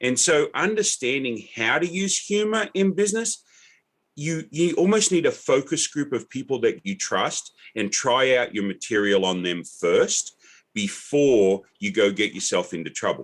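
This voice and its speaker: Here a man speaks at a fairly high pitch. He goes at a fairly slow pace with very wide pitch swings. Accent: American. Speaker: podcaster and author of dad joke books. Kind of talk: podcast interview.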